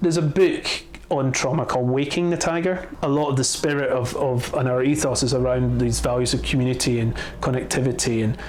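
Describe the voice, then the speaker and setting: A man with a Scottish accent keeps his loudness very even, amid noticeable background noise and audible room echo. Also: medium pitch for a man, ordinary pitch variation, fairly quick pace. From Scotland. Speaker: attraction co-founder. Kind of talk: interview. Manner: halting, many repetitions and fillers.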